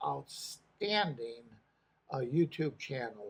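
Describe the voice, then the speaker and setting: A man speaks at a very slow pace with lively intonation. His voice is fairly high and somewhat breathy. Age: 80s+. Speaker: retired correctional officer. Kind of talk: casual talk to camera. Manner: hesitant, many filler words.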